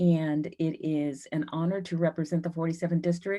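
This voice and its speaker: With an American accent, the speaker talks at a moderate pace in a dark, mellow tone with fairly even intonation. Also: woman. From US Pacific Northwest, Seattle. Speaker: politician. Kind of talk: candidate forum statement. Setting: video call.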